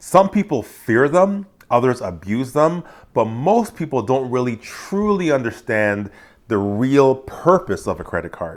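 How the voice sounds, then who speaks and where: A medium-pitched man at a fairly slow pace, very wide pitch swings, in a very clean recording with a silent background. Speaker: financial coach. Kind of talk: educational talk to camera. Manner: casual, conversational.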